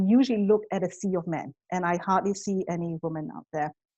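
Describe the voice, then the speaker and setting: At a fairly quick pace, a woman speaks with a medium pitch, a dark, mellow tone and ordinary pitch variation. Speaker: fintech executive. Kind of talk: interview conversation. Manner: hesitant, many fillers.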